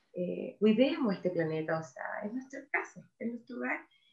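A woman talks at a moderate pace. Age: 50s. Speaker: NGO executive director. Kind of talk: interview.

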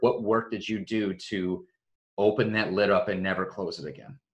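At a moderate pace, a man talks in an unremarkable speaking voice with a medium pitch and ordinary pitch variation. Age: 30s. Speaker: podcast host. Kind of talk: podcast interview.

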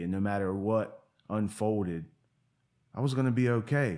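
A man with a fairly low pitch and an unremarkable speaking voice. His pitch varies in an ordinary way. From Virginia, Portsmouth near Virginia Beach. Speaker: person in addiction recovery. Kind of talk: casual interview conversation.

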